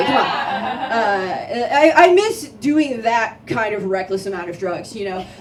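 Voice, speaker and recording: With noticeable background noise and audible room echo, a woman speaks at a high pitch, her voice swinging very widely up and down. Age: 30s. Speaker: stand-up comedian. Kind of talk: stand-up. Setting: stage with audience. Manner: halting.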